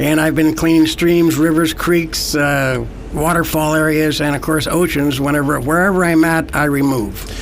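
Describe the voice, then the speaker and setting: With audible room echo and noticeable background noise, a man speaks in a monotone, flat voice at a fairly high pitch and moderate pace, with hardly any pauses. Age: 70s. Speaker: environmental activist. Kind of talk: radio interview. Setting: studio.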